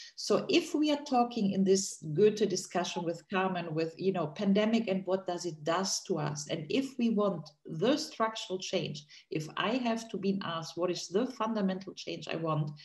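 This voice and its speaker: A woman with a German accent speaks at a moderate pace and medium pitch, with hardly any pauses. Her voice is somewhat breathy and her intonation lively. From Germany. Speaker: political analyst on a panel. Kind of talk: panel discussion.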